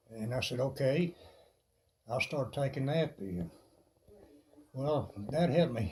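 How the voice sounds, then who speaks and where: Speaking fairly slowly, a man uses a somewhat breathy, fairly high voice with a dark, mellow tone and lively intonation. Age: 70s. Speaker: fitness enthusiast vlogger. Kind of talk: personal testimony while planking.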